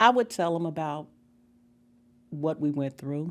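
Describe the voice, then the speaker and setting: A woman speaks with an American accent in a very deep, low voice. The recording is very clean, with a silent background. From US South, Memphis, Tennessee. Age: 60s. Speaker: school integration pioneer. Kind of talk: oral history conversation.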